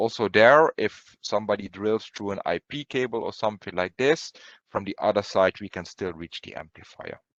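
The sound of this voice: The tone is fairly bright, with ordinary pitch variation at a moderate pace. The sound is dry and close, with no echo. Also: man, fairly low pitch for a man.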